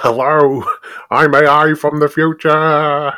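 A man's put-on character voice, fairly high in pitch, at a very slow pace. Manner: funny.

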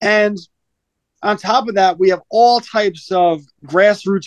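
In an American accent, a man talks with ordinary pitch variation in a dry, close sound with no echo. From New York. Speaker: homeschool founder and author. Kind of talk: interview.

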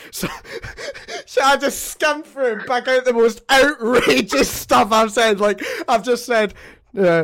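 A man with a Scottish accent talks at a fairly slow pace. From Scotland. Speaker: podcast host. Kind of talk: casual chat.

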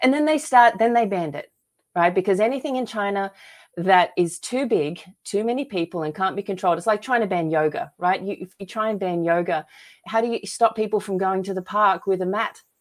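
With an Australian accent, a woman speaks at medium pitch and a fairly quick pace. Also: lively intonation. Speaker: author and filmmaker. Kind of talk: casual interview chat.

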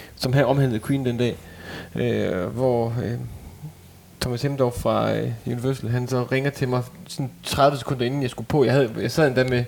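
Noticeable background noise is present. A man speaks at a medium pitch with monotone, flat intonation. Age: 30s. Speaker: lead singer and part-time doctor. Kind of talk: casual chat.

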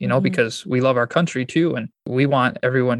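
In an American accent, a man speaks at a fairly quick pace with a medium pitch, vocal fry and fairly even intonation, the sound dry and close with no echo. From Michigan, US. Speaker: pastor and church planter. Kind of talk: interview.

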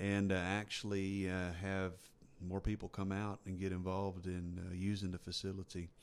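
Speaking with a Texan accent, a man with a very deep, low pitch keeps a moderate pace and a monotone, flat intonation. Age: 50s. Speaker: ultra runner and fitness enthusiast. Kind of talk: casual chat. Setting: studio.

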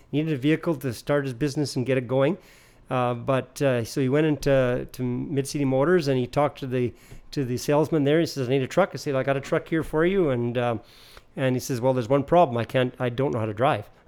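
A man with a Canadian Prairie accent talks at a very fast pace and a medium pitch, with fairly even intonation. The recording is very clean with a silent background. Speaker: family business owner. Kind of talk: casual chat.

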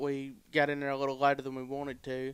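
Flat and monotone, a man's fairly high voice moves at a moderate pace. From Alabama, Cherokee County. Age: 20s. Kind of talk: casual chat.

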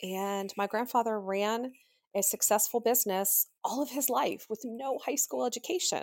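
On a very clean recording with a silent background, a woman with an American accent speaks in a normal speaking voice at a moderate pace and a fairly high pitch. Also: ordinary pitch variation. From Pennsylvania. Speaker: grieving daughter, podcast guest. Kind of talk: personal testimony.

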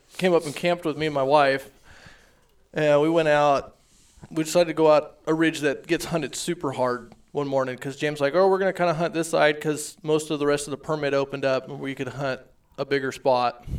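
Talking at a fairly quick pace with fairly even intonation, a man has a plain, everyday voice and a fairly high pitch. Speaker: elk hunter. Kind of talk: casual chat.

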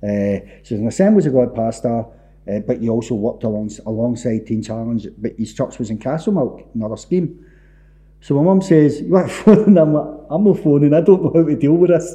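Talking at a fairly quick pace in a Glaswegian accent, a man has a dark, mellow tone and very wide pitch swings. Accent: Glaswegian Scottish. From Scotland, Easterhouse in Glasgow's East End. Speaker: author and former addict. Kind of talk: testimony.

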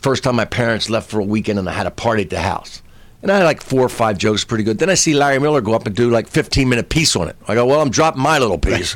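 Speaking at a very fast pace, a man has an American accent. His medium pitch rides on lively intonation. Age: 60s. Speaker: comedian. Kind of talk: casual interview chat.

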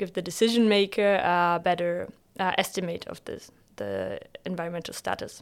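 Someone with a German accent speaks at a moderate pace with big swings in loudness, in a very clean recording with a silent background. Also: woman. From northern Germany, Bremen. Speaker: PhD student. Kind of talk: interview.

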